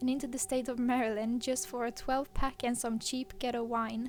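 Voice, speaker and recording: A woman with a Swedish accent, high pitch, ordinary pitch variation and moderate pace. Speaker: horror story narrator. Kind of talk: reading aloud.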